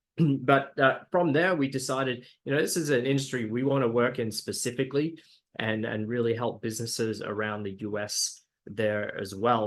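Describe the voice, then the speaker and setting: Against a quiet background, a man with an Australian accent talks at a moderate pace and medium pitch, with ordinary pitch variation. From Australia, Brisbane. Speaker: digital marketing agency founder. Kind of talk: webinar presentation. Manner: hesitant, many fillers.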